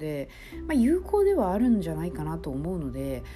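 A woman's voice with audible room echo. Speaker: podcaster. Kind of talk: casual solo talk.

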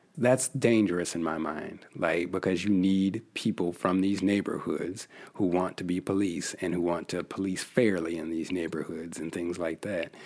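With an American accent, a man speaks at a very deep, low pitch and moderate pace, his intonation fairly even and hardly any pauses. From US Northwest, Yakima, Washington. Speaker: history professor. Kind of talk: interview. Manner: repetitive hesitant restarts.

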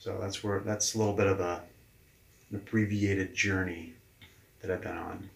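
A man with an American accent speaks at a moderate pace in a somewhat breathy, monotone voice with flat intonation and long, frequent pauses. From New Hampshire, US. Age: 40s. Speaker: leadership coach. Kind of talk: interview. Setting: in person.

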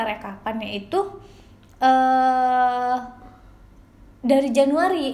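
High-pitched female speech, with room echo clearly audible. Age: 20s. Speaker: podcast co-host, office worker. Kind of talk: casual chat.

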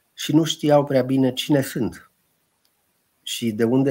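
The man's voice is medium in pitch with a dark, mellow tone. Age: 50s. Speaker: historian. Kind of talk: interview.

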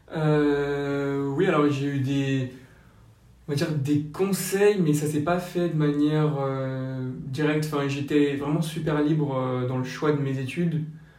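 In a room with audible echo, a man speaks at a very slow pace with fairly even intonation and a fairly high pitch. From French Basque Country. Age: 20s. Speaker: young public-law lawyer. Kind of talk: casual interview. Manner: hesitant, many fillers.

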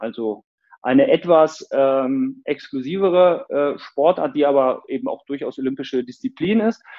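Here a man speaks at a fairly high pitch. His voice makes very wide pitch swings. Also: moderate pace. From northern Germany (near Hildesheim). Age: 40s. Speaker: movement teacher and fitness coach. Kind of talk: casual interview. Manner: hesitant, repeats words.

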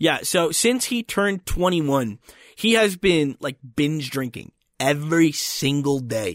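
Strong Philadelphia accent from a man, fairly slow and lively in intonation, on a very clean recording with a silent background and a dry, close sound with no echo. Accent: Philadelphia accent, more pronounced. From Philadelphia, US Northeast. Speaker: podcast host. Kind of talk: casual banter podcast chat. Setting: recording in Colorado.

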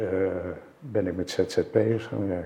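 A man delivers his words fairly slowly in a monotone, flat intonation. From Netherlands, Zeist. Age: 70s. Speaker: entrepreneur. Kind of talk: interview.

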